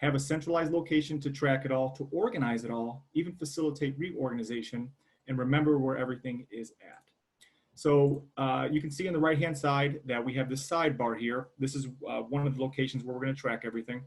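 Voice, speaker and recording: Fairly high-pitched and somewhat breathy, a man talks at a very fast pace with fairly even intonation. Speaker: software product presenter. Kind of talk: product demo.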